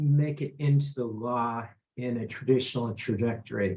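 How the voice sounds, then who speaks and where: Somewhat breathy delivery from a man. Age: 60s. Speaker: attorney. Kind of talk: testimony.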